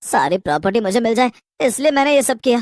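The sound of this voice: A man does a cartoonish character voice at an extremely high pitch, talking fast with big pitch swings in a dry, close sound with no echo.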